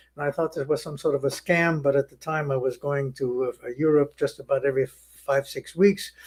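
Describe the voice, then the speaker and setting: In a German accent, a man with a fairly high voice speaks at a moderate pace with fairly even intonation. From Germany. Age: 90s. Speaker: Holocaust survivor. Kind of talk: testimony. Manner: halting.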